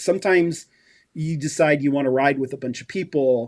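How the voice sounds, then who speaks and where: Here is a man with an ordinary speaking voice and an American accent. His pitch is fairly high and his pace is moderate. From US West Coast (San Francisco Bay Area). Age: 60s. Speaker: endurance cyclist. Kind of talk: interview.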